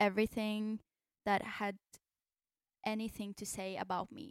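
Recorded very cleanly against a silent background, a woman talks fairly slowly at medium pitch, the sound dry and close with no echo. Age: 20s. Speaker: singer-songwriter. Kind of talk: casual interview chat.

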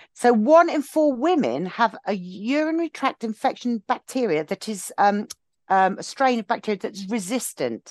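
The pitch swings very widely in an English accent at a moderate pace. The sound is dry and close with no echo, over a quiet background. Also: woman, fairly high pitch for a woman. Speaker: podcast co-host. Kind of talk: casual chat.

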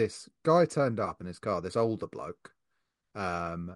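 A man with an unremarkable speaking voice and fairly low pitch talks at a moderate pace, the sound dry and close with no echo against a quiet background. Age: 30s. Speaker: podcast host, print shop owner. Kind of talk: casual chat.

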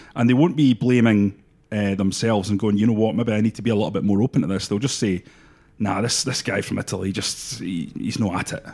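Very fast in pace, a man speaks with ordinary pitch variation. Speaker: football pundit. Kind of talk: sports podcast discussion.

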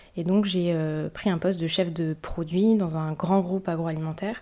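A woman's dark, mellow, fairly low voice at a moderate pace with fairly even intonation, on a very clean recording with a silent background. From Paris region, France. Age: 20s. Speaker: bee conservation project manager. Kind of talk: interview testimony. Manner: hesitant, many fillers.

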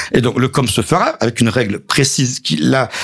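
A man talks in an unremarkable speaking voice, keeping a moderate pace. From southern France, Montpellier area. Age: 50s. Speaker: local politician, mayor. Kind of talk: radio interview.

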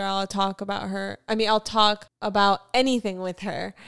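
In a very clean recording with a silent background and a dry, close sound with no echo, a woman uses a normal speaking voice at medium pitch, with fairly even intonation and a moderate pace. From Florida, US South (Fort Lauderdale), later North Carolina. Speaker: podcast co-host, artist. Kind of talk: casual chat.

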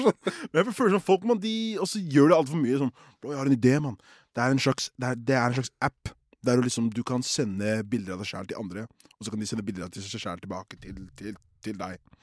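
A man at a medium pitch, fairly quick and animated, with lively intonation, music in the background, and a dry, close sound with no echo. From Oslo, Norway. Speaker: podcast co-host. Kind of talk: casual chat.

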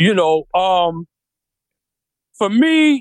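A man with a New York accent is recorded in a dry, close sound with no echo. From Brooklyn, New York. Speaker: rapper. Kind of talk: interview.

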